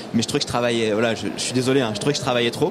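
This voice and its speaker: The speaker is a man with a medium pitch. His intonation is fairly even, and noticeable background noise is present. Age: 40s. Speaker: organic market gardener. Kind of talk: radio panel discussion. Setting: live broadcast from an agricultural fair stand.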